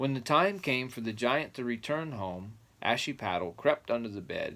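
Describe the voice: Lively intonation in a plain read-aloud passage.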